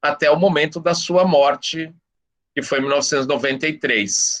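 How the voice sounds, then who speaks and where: With an unremarkable speaking voice, a man talks at a moderate pace using ordinary pitch variation. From São Paulo, Brazil (east zone). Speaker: professor. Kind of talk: guest talk in discussion circle.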